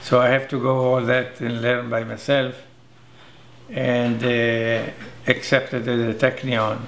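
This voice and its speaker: At medium pitch, a man talks at a fairly slow pace with long, frequent pauses and monotone, flat intonation. Noticeable background noise and audible room echo fill the recording. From Israel. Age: 70s. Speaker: silversmith and aerospace engineer. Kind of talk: interview. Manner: halting, with fillers.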